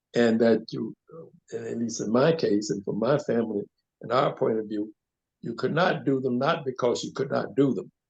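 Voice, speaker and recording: A man with an American accent speaks at a moderate pace, his voice carrying vocal fry. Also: medium pitch for a man, ordinary pitch variation. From US South, Mississippi. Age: 90s. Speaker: community activist. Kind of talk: interview. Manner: halting, many fillers and repetitions.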